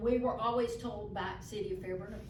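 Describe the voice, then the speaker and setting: A woman with a Southern US accent speaks at a moderate pace over noticeable background noise, with audible room echo. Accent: Southern US (Georgia). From US South. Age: 60s. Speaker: local resident. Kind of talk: public meeting comment. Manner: animated.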